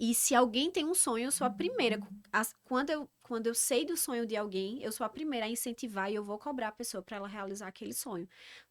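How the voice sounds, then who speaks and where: A woman speaks in a northeastern Brazilian accent, her pitch fairly high. Her intonation is lively, and she barely pauses. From Northeast Brazil, Campina Grande, Paraíba. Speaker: organizational psychologist. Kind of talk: podcast interview.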